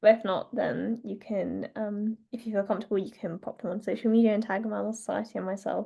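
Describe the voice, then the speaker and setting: A woman's fairly quick speech with vocal fry and fairly even intonation. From northern England, North Yorkshire. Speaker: wildlife artist. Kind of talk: online drawing tutorial. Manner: casual, hesitant with many fillers.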